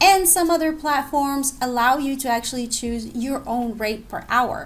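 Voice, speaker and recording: At a moderate pace, a woman with a non-native accent talks in a high pitch with ordinary pitch variation. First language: not English. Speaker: online English teacher and blogger. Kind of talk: tutorial. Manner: casual, conversational.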